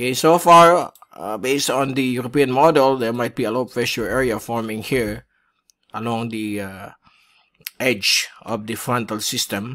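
A man speaks at a medium pitch with a bright, sharp tone. His pace is moderate and his pitch variation ordinary. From Philippines. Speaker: weather forecaster. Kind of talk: weather briefing. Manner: unscripted, with frequent fillers (uh, okay). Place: home room.

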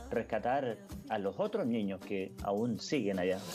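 Over clear background music, a man speaks at medium pitch and a fairly slow pace with lively intonation. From Chile. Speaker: grandfather and NGO founder. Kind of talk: interview answer. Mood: earnest, reflective. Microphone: video call.

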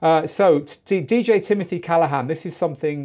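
A man with a Mancunian accent and lively intonation, against a quiet background. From northern England, Manchester. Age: 50s. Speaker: DJ school host; live show host. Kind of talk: live stream lesson. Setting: studio. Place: studio. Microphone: lapel.

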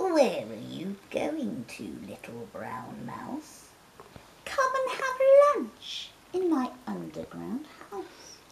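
Very slow delivery in a put-on character voice. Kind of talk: bedtime story.

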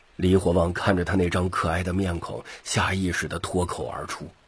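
A man's low voice at a fairly quick pace, with little pitch movement.

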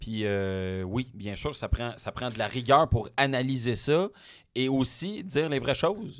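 A man's very slow delivery with lively intonation, over a quiet background. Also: medium pitch for a man. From Quebec, Témiscamingue; Quebec. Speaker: automotive journalist. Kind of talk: interview. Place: studio. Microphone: studio mic.

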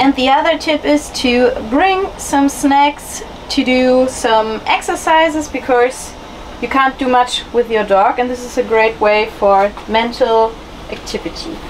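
A woman's high-pitched voice with ordinary pitch variation over light background noise. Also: fairly slow pace. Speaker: travel vlogger. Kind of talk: casual vlog chat. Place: boat. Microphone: phone near.

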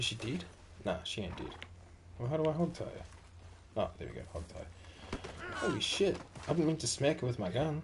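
Noticeable background noise sits behind a man's medium-pitched voice. He moves at a moderate pace with very wide pitch swings. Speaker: gaming streamer. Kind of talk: casual gameplay commentary. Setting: online stream, home recording. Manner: casual, chatty.

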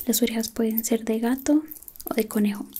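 Soft-spoken, a woman talks with a gentle tone and fairly even intonation. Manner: soft, gentle ASMR roleplay voice.

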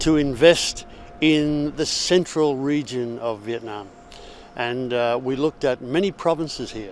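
Light background noise sits behind a man who speaks at a fairly slow pace with ordinary pitch variation and a dry sound with no echo. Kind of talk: interview answer. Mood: calm, positive. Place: street. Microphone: lapel.

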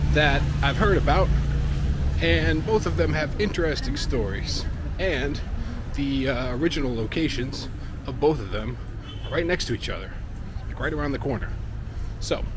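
A man's voice, dry with no echo, over background music. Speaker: food vlogger. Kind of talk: casual vlog chat. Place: street. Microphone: phone near.

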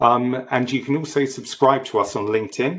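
A man at medium pitch and moderate pace, with ordinary pitch variation

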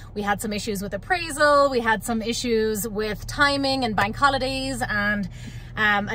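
The voice shows ordinary pitch variation, with a dry sound, no echo, and light background noise. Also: woman. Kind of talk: casual vlog chat. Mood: excited, happy, grateful. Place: car. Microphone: phone near.

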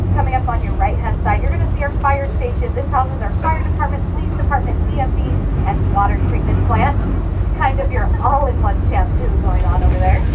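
Loud background noise runs behind a woman's voice. She talks at a fairly quick pace. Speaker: bus tour guide. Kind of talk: tour guide commentary. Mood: friendly, joking. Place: bus.

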